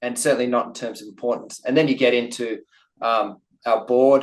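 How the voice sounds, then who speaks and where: In an Australian accent, a man talks at a medium pitch and a moderate pace. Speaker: company CEO. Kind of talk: investor webinar Q&A. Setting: online webinar. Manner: hesitant, many fillers.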